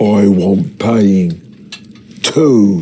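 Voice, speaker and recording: A man's husky, put-on character voice at a fairly low pitch. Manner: menacing, demanding.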